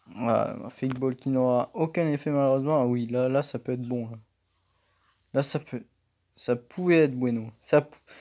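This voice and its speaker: Long, frequent pauses break up speech at a moderate pace against a quiet background. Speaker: gaming YouTuber. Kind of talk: angry gaming rant over live gameplay, venting and swearing at the game. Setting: home recording at computer, drill noise in background. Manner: exasperated, shouting, swearing, sharp outbursts.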